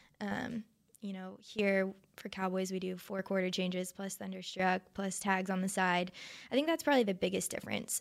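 With fairly even intonation and a moderate pace, an ordinary speaking voice talks in an American accent. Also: woman. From North Texas (Arlington, Flower Mound). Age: 20s. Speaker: professional cheerleader. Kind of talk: casual chat. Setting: studio.

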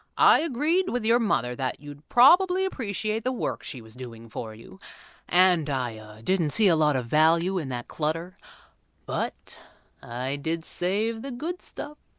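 A woman uses a put-on character voice that is low-pitched and fairly bright. She moves fairly slowly, with big pitch swings.

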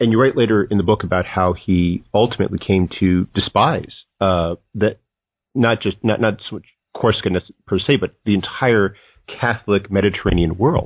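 This man has an ordinary speaking voice, fairly low in pitch. He keeps a moderate pace with ordinary pitch variation. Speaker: podcast host. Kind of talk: interview questions.

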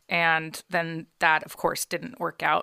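The recording is very clean with a silent background. A woman with a bright, sharp tone and a fairly low pitch speaks at a moderate pace. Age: 30s. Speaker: podcast co-host. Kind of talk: casual chat. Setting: studio.

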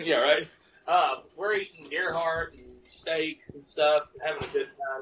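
A fairly high male voice in a Mississippi accent, fairly slow, with big swings in loudness. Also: fairly even intonation. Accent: US Southern (Mississippi). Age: 30s. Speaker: cowboy musician and poet. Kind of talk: casual chat.

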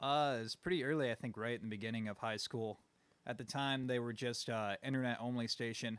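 A normal speaking voice with fairly even intonation at a fairly quick pace, on a very clean recording with a silent background. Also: man, medium pitch for a man. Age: 20s. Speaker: musician. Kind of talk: casual interview.

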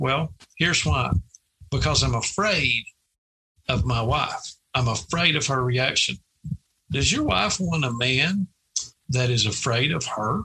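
A man speaks at medium pitch and a fairly slow pace, with long, frequent pauses. His intonation is lively while his loudness stays very even. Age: 50s. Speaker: sports coach. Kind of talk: interview. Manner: halting.

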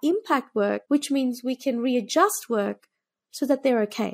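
Spoken in an Australian accent at a moderate pace with ordinary pitch variation, the sound is dry and close with no echo, on a very clean recording with a silent background. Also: woman. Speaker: tech startup founder and CEO. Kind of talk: interview.

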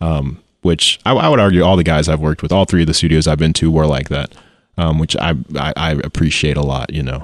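A very fast-talking man with an American accent, a very deep, low pitch, vocal fry and fairly even intonation. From US Midwest, Missouri (St. Louis, Joplin). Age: 20s. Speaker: musician and doctoral student. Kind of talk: casual chat.

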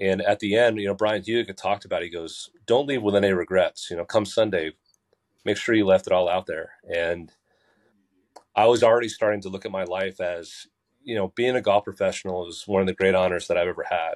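A man with an American accent and an ordinary speaking voice talks at a fairly quick pace and fairly low pitch, with fairly even intonation, a dry, close sound with no echo and a quiet background. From New Jersey, Basking Ridge. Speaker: golf professional and artist. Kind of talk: podcast interview.

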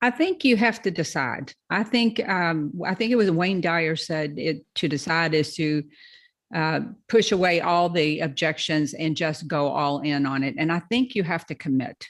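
In a Kentucky accent, a woman with a fairly low pitch and lively intonation speaks at a moderate pace against a quiet background. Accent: Southern US, Kentucky. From Louisville, Kentucky. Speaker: probate real estate investor. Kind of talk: interview, educational talk. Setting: video call.

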